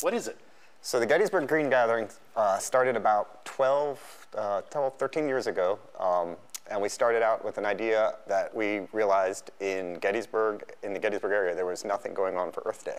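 Moderate speed and ordinary pitch variation from a man. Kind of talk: interview answer. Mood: relaxed and friendly. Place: studio. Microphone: lapel.

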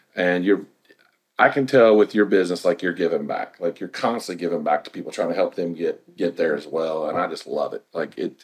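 Against a quiet background, a man talks at a fairly quick pace. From Indiana. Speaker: real estate agent and podcast host; interview host. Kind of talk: casual interview. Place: studio.

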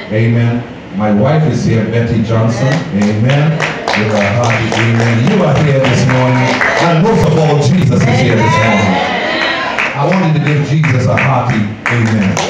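Music playing behind a man's voice, plus audible room echo. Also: ordinary pitch variation, moderate pace. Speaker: program host. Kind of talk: church announcements and call-and-response. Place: church. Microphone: pa.

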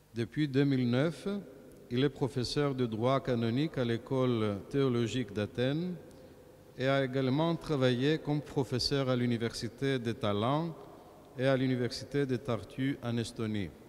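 Over light background noise, the speech moves at a fairly slow pace with very even loudness and fairly even intonation. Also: man. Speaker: clergyman introducing a lecture. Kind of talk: formal introduction. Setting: church. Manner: formal. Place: church. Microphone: podium.

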